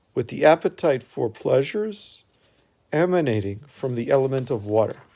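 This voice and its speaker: A man speaks at a medium pitch with very wide pitch swings. His tone is dark and mellow. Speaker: religious text reader. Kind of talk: reading aloud. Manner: deliberate pausing.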